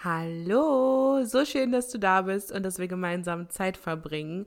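A woman has a normal speaking voice at medium pitch with ordinary pitch variation. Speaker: podcast host and meditation guide. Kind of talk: guided meditation. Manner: warm, intimate, loving.

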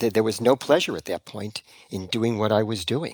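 A fairly low-pitched man with an unremarkable speaking voice, fairly quick pace, very clean recording and silent background. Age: 60s. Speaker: retired acupuncturist. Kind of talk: interview conversation.

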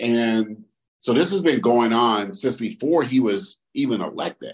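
This is a normal speaking voice from a man with a medium pitch. His intonation is lively. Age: 50s. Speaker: podcast co-host and published author. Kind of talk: casual chat.

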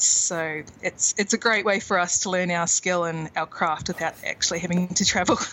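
Speaking at a moderate pace, a woman has a New Zealand accent. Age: 30s. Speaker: indie author. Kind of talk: interview.

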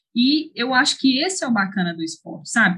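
Pitch swings very widely throughout. There's a somewhat breathy sound to the voice. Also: woman. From Brazil, Ceará interior, raised in Belo Horizonte from age 8. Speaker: professional mountain bike racer. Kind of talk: interview.

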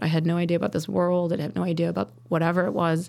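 Fairly quick speech from a woman with a fairly low pitch, on a very clean recording with a silent background. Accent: Midwestern US. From Chicago suburbs and rural Wisconsin. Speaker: sommelier. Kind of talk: interview.

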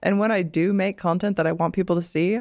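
A plain, everyday voice from a woman at medium pitch with ordinary pitch variation, dry and close with no echo, in a very clean recording with a silent background. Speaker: podcaster and adult entertainer. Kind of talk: casual chat.

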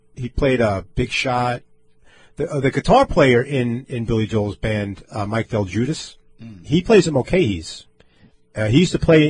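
With an American accent, a man speaks at a medium pitch and a moderate pace, somewhat breathy, with lively intonation and long, frequent pauses. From Long Island, New York. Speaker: radio host. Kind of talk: casual chat. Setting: studio. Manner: animated.

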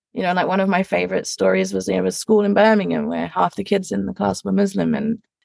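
A woman with an English accent talks at a very fast pace, hardly pausing at all. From England. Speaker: education industry manager. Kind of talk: interview.

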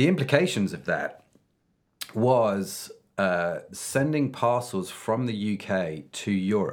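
This man has a British accent and a medium pitch with very wide pitch swings. He speaks at a very slow pace. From UK. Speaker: podcast host. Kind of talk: interview. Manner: animated.

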